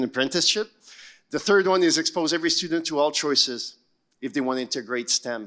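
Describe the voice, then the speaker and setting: A man speaks with ordinary pitch variation. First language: not English. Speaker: education panelist. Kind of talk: panel discussion.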